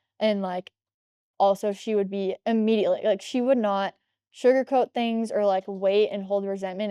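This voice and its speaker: A woman with an American accent talks at a fairly quick pace and a medium pitch, in a dark, mellow tone. Her intonation is monotone and flat, and the sound is dry and close with no echo. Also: quiet background. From US Midwest, Chicago area, Illinois. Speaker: CrossFit coach. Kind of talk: casual interview chat. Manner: loud, projecting.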